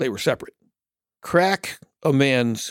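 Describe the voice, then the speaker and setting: A man with a medium pitch speaks in a plain, everyday voice with lively intonation. The recording is very clean, with a silent background. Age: 60s. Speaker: guest host. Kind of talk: casual chat. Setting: studio.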